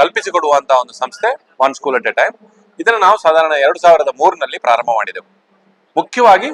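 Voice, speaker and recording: Dry and close with no echo, this recording has a man speaking. His high-pitched voice moves in very wide pitch swings. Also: big swings in loudness. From India, coastal Karnataka. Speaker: charity founder and trustee. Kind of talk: interview.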